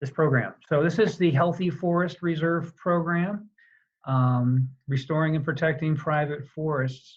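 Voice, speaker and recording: The man has an unremarkable speaking voice, with a fairly high pitch and fairly even intonation, and he talks at a fairly slow pace. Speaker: government conservation program presenter. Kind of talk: webinar presentation. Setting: online webinar.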